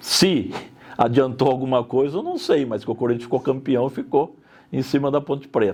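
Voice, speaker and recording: A man with an unremarkable speaking voice talks at a medium pitch and moderate pace, his pitch varying in an ordinary way. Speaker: interviewee in documentary. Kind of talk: interview testimony.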